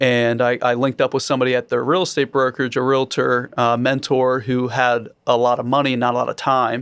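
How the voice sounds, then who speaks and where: In an American accent, a man talks at medium pitch with a monotone, flat intonation. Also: fairly quick pace, very even loudness, very clean recording, silent background. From Maryland, US. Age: 30s. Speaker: real estate investor. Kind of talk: podcast interview.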